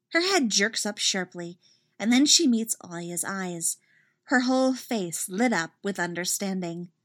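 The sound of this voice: With a quiet background, the clip carries an unforced reading voice.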